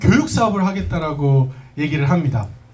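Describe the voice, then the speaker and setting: With audible room echo and noticeable background noise, a man speaks at a fairly quick pace, his pitch fairly high and its variation ordinary. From South Korea, schooled in US from middle school. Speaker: business presenter. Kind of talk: business presentation to audience.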